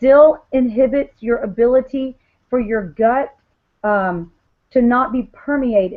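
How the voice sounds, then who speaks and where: At a fairly slow pace, a woman talks in a high voice with an animated tone. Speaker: wellness product seller. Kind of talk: sales presentation on video call. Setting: video call.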